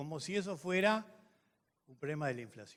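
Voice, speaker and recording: The man speaks fairly quickly, and his intonation is lively. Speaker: economist and professor. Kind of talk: panel talk. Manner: fast.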